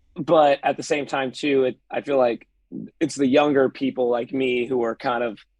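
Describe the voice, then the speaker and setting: An American accent marks this man's speech at medium pitch. The sound is dry and close with no echo. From US West Coast, San Pedro, California. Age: 20s. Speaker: musician. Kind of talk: casual interview chat.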